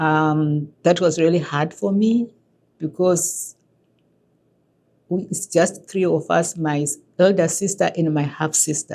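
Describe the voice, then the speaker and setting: At a fairly slow pace with long, frequent pauses, a woman speaks in a fairly low pitch and a dark, mellow tone with fairly even intonation. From Zimbabwe. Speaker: immigrant, former HR director, newcomer support worker. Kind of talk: documentary interview.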